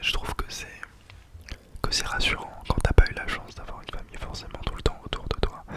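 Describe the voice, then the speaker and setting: A man whispering at a fairly quick pace, with big swings in loudness and noticeable background noise. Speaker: ASMR creator. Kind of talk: ASMR whispered talk to camera. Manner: whispered, soft, calming.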